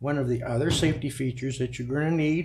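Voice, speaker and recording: A man speaks against noticeable background noise. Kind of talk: tutorial. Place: garage. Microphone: camera far.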